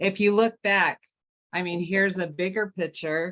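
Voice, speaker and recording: A woman speaks at a fairly slow pace with fairly low pitch and fairly even intonation. The sound is dry and close, with no echo. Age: 60s. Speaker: product user. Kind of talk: testimony.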